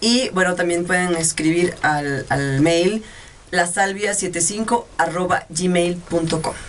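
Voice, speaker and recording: Speaking very slowly over noticeable background noise, a woman with a fairly low voice keeps her loudness very even and her pitch variation ordinary. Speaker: telenovela actress. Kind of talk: casual interview. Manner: animated.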